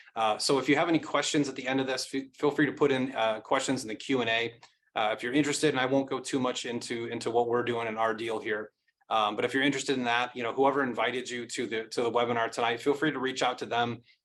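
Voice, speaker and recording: Speaking at a very fast pace, a man keeps a monotone, flat intonation. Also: medium pitch for a man. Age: 40s. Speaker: company executive presenting to investors. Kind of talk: webinar presentation. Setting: online webinar. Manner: concise.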